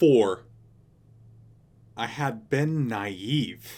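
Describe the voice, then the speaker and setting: This is a man's voice. It sits at a medium pitch. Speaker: audiobook narrator. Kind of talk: audiobook reading.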